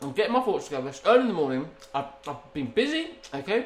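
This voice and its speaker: Very fast and with very wide pitch swings, the speaker talks in an English accent over noticeable background noise. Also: man. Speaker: podcast co-host. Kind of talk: casual banter.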